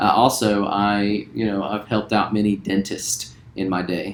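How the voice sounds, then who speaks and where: This man talks in a Southern US accent at a fairly low pitch. His pace is fairly slow and his intonation fairly even. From West Virginia, later Louisiana. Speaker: school teacher. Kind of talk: casual self-introduction.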